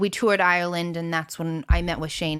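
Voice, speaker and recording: In a very clean recording with a silent background, a woman speaks at a fairly low pitch with an American accent. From US Midwest, Indiana. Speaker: singer-songwriter. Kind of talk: interview conversation. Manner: animated.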